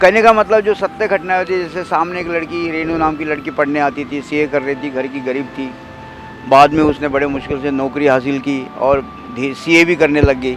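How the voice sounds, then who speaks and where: A man's fairly high voice over music in the background. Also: ordinary pitch variation, moderate pace. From Maharashtra, Amravati district village. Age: 60s. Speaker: author and tea seller. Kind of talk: interview.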